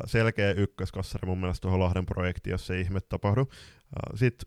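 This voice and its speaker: A man uses a normal speaking voice at a fairly low pitch with fairly even intonation. The sound is dry and close with no echo, in a very clean recording with a silent background. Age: 20s. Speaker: floorball podcast co-host and coach. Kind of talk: casual chat.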